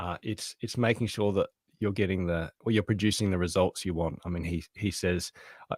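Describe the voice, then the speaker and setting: A man with an Australian accent, a very deep, low pitch and fairly even intonation, in a very clean recording with a silent background and a dry, close sound with no echo. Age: 40s. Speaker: author and productivity consultant. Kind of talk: podcast interview.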